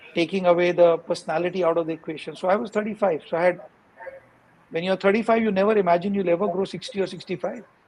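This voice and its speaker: Over noticeable background noise, a man talks at a very fast pace. His pitch is high and his intonation fairly even. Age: 50s. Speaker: founder of an accounting firm. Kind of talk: interview. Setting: live stream.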